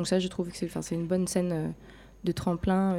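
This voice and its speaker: At a moderate pace, a woman speaks in a fairly low, dark, mellow voice with monotone, flat intonation. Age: young. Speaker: jazz singer. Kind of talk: interview.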